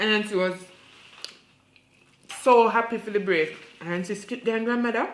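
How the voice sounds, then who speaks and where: A woman with a Jamaican accent and a fairly high pitch speaks with long, frequent pauses over noticeable background noise. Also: moderate pace. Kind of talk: folktale storytelling in patois.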